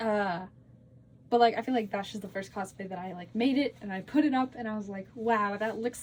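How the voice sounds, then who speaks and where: A somewhat breathy woman speaks at a fairly high pitch and a fairly quick pace. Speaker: cosplay content creator. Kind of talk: casual Q&A vlog. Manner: fast; rambling, filler-heavy.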